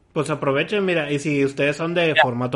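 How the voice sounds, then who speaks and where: Here a man talks at a fairly high pitch with a Mexican accent. His pitch varies in an ordinary way. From Mexico, Guadalajara. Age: 30s. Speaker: podcast host. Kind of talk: casual chat.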